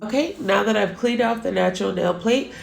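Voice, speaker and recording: Noticeable background noise runs under a woman's voice. Room echo is audible as well. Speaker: nail technician. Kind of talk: tutorial. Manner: casual, many fillers.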